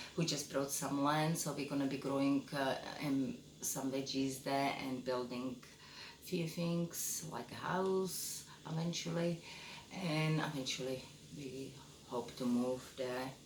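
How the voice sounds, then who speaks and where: In a Czech accent, a woman speaks with a very deep, low pitch at a fairly slow pace. Her pitch variation is ordinary, with noticeable background noise and audible room echo. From Czechoslovakia. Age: 50s. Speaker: photographer and vlogger. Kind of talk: casual self-introduction monologue. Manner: hesitant, many fillers.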